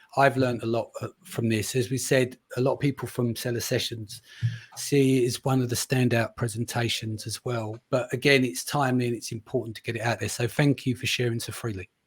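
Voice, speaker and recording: A man with an East London accent speaks at a fairly quick pace in a medium pitch, his flat, monotone delivery somewhat breathy and recorded dry and close with no echo. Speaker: podcast host. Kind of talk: podcast conversation.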